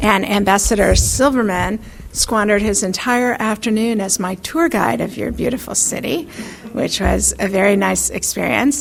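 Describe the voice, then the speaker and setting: A soft-spoken woman with an American accent talks at a medium pitch. Noticeable background noise and audible room echo surround her voice. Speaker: foreign policy expert. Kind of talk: lecture. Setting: stage with audience. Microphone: too quiet at first, turned up.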